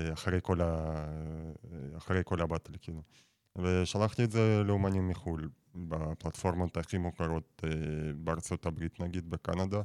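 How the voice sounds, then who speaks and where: In a very clean recording with a silent background and a dry, close sound with no echo, a man with a very deep, low pitch talks at a moderate pace with fairly even intonation and long, frequent pauses. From Russia. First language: Russian (speaking Hebrew). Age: 20s. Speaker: battle rap platform founder. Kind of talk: radio interview. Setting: studio.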